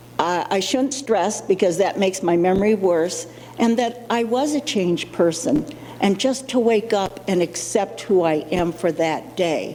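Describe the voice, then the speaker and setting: Against noticeable background noise, a woman speaks at a fairly slow pace and medium pitch, with lively intonation and very even loudness. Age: 60s. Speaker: person living with Alzheimer's, summit speaker. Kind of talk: personal testimony. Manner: halting, with fillers.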